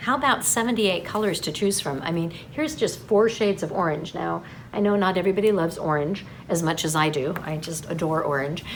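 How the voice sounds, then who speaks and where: With lively intonation, a woman talks at a fairly quick pace amid audible room echo and noticeable background noise. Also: fairly low pitch for a woman. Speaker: yarn shop staff presenting newsletter. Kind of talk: product announcement video. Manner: fast; chatty, animated.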